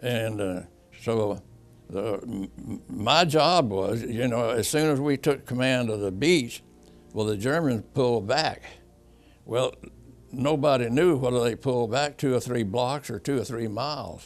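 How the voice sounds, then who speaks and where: A man talks fairly slowly, pausing often and at length, while music plays in the background. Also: medium pitch for a man, ordinary pitch variation. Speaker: war veteran. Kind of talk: oral history interview answer.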